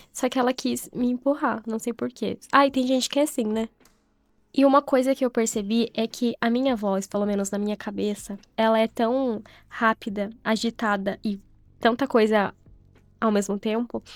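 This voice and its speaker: Her fairly high pitch and fairly even intonation come through in a dry, close sound with no echo as the woman talks. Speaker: vlogger, content creator. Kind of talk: casual vlog narration. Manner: slow and calm when narrating.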